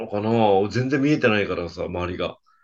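A man has a normal speaking voice. He talks at a fairly quick pace with lively intonation. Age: 50s. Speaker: podcast co-host with his wife. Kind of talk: casual chat.

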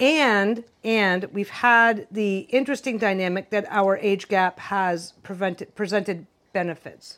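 With a plain, everyday voice, a woman speaks at a fairly slow pace and medium pitch, with ordinary pitch variation and hardly any pauses. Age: 50s. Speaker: podcast co-host. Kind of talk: casual chat.

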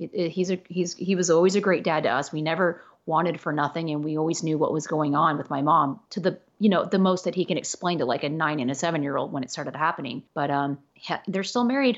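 With an American accent, a woman speaks at a very fast pace with hardly any pauses. Her pitch is fairly low, with ordinary variation. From Los Angeles, California. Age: 40s. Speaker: model, actor and photographer. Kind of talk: casual chat.

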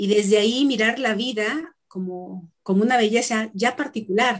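This woman's voice sits fairly high, with ordinary pitch variation. She speaks at a fairly slow pace. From Mexico, Tlaxcala. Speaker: ontological coach. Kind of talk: interview. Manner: halting.

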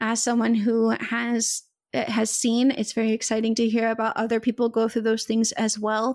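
A woman's fairly high, monotone, flat voice in an American accent, at a moderate pace and very even loudness, on a very clean recording with a silent background. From US South. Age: 20s. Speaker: podcast host. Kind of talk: casual interview chat.

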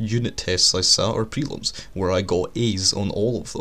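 A fairly low male voice with fairly even intonation. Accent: Scottish. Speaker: podcast host. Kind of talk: solo monologue.

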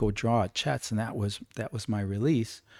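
In a dry, close recording with no echo, a man with a normal speaking voice talks at a moderate pace and medium pitch. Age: 60s. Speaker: life model. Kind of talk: casual chat. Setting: studio.

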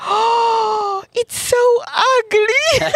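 Her female-sounding voice is a put-on character voice pitched extremely high for a woman. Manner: disapproving.

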